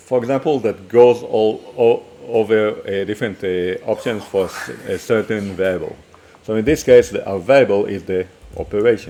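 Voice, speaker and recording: Speaking at a moderate pace with medium pitch and ordinary pitch variation, a man with an Israeli accent is heard over noticeable background noise. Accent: Hebrew. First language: Hebrew. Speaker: programming teacher. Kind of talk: coding tutorial. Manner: halting, many fillers and restarts.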